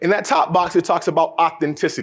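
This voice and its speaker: A man speaks in a high, animated voice with lively intonation. He keeps a fairly quick pace. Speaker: motivational speaker. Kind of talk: conference keynote talk. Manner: fast.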